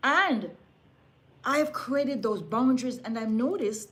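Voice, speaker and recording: A woman speaks at a high pitch in an animated tone. Her intonation is lively. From Jamaica. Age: 60s. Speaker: lifestyle vlogger and seamstress. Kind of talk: casual motivational talk to camera.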